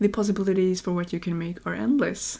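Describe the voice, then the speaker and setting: A woman's dark, mellow tone with a Norwegian accent. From Norway. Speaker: YouTuber, game builder. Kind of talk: Q&A voiceover over gameplay. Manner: casual, conversational.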